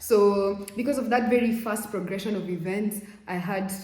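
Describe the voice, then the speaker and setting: There is audible room echo as a woman speaks. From Kenya. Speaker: vlogger. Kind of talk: casual vlog talk. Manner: animated.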